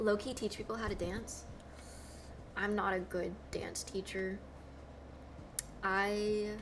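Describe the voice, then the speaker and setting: Speaking very slowly in a monotone, a woman with an American accent leaves long, frequent pauses at a medium pitch. The room echo is audible and the background noise is noticeable. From US South, Georgia. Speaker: streamer and cosplayer. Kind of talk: casual live-stream chat.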